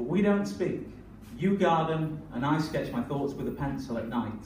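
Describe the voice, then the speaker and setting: A man's voice carries ordinary pitch variation at a moderate pace, with audible room echo and noticeable background noise around it. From northern England. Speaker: performance poet. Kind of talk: poetry performance; stand-up style banter. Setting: stage with audience.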